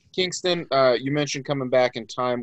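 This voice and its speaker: Against a quiet background, an unremarkable speaking voice with an American accent moves at a fairly quick pace with ordinary pitch variation. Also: man. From Florida, US. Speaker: podcast co-host. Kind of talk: casual chat.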